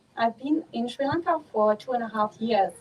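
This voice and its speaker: Speaking with a German accent, a woman uses fairly high pitch and lively intonation. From Germany. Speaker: Buddhist nun. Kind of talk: dharma talk. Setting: outdoors.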